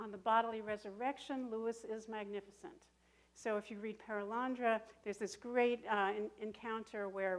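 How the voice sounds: A natural reading voice delivers the words with fairly even intonation.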